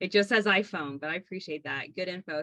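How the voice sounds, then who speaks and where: A fairly low-pitched woman's voice, bright and sharp in tone, with ordinary pitch variation. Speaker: doula and class instructor. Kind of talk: online class. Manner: fast.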